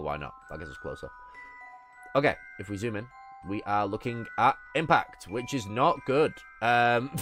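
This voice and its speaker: A man with a medium pitch speaks at a moderate pace, broken by long, frequent pauses. His pitch swings very widely and his loudness shifts a lot, with music in the background. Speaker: streamer. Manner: casual, thinking aloud.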